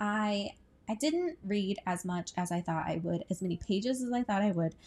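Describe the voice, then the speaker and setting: Somewhat breathy and relaxed in tone, a woman speaks at medium pitch with lively intonation. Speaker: book podcaster and booktuber. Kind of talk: casual chat. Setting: at home on the couch. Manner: relaxed with frequent filler words.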